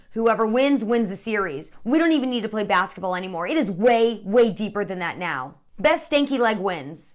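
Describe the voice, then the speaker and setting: Loud and animated, a woman speaks with hardly any pauses. Her pitch is fairly high and swings very widely. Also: moderate pace. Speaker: sports comedy show host. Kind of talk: scripted comedic sports commentary.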